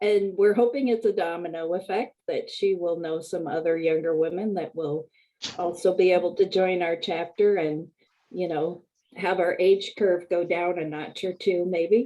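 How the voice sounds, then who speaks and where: A woman has a normal speaking voice, fairly low in pitch. She talks at a moderate pace with fairly even intonation. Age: 60s. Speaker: club member. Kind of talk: casual chat.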